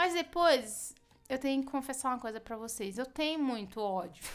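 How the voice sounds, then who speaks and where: Her high voice swings very widely in pitch. The woman keeps a moderate pace. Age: 30s. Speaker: comedian podcast host. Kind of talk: casual comedic monologue. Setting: at home. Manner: animated.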